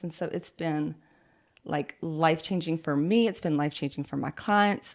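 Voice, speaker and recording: A woman with a Southern US accent speaks at a moderate pace, her pitch fairly low with ordinary variation. The recording is very clean, the background silent. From US South, North Carolina. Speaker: esthetician. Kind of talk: casual interview.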